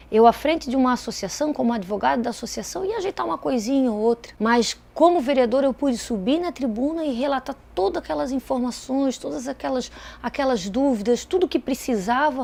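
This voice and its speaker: A woman speaks at a fairly quick pace with a high pitch and lively intonation, hardly pausing. Noticeable background noise runs under her voice. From Brazil, Itajaí, Santa Catarina. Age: 30s. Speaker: lawyer and politician. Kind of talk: interview testimony.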